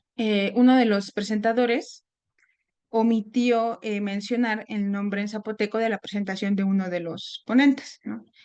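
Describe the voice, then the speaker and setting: The woman's fairly high voice moves at a moderate pace in a monotone, flat intonation. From Mexico, Puebla. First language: Nahuatl (speaking Spanish). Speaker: seminar speaker. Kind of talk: academic talk. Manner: halting, many fillers.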